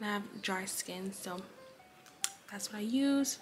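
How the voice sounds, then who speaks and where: A woman speaks over noticeable background noise. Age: 20s. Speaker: beauty vlogger. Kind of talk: casual vlog talk. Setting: at home early morning. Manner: quiet.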